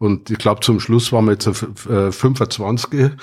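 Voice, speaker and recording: In a normal speaking voice at a moderate pace, the intonation stays fairly even on a very clean recording with a silent background. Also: man. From Bavaria, Wartenberg (Upper Bavaria). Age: 60s. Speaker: retired IT company founder. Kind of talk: casual chat. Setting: at a home.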